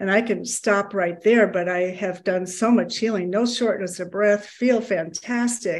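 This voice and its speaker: At a moderate pace, a woman talks in a medium pitch, an unremarkable speaking voice. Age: 60s. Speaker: program participant. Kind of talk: testimony.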